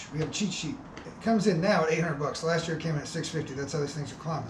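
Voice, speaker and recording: A man speaks in a high pitch. There is audible room echo and noticeable background noise. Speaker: fishing channel host. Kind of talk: product review. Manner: fast.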